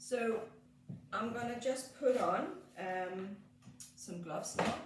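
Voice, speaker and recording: Speaking very slowly with a Danish accent, a woman with a fairly high pitch uses lively intonation, with noticeable background noise and audible room echo around her. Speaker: skincare therapist, salon owner. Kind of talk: treatment demonstration. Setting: treatment room in salon.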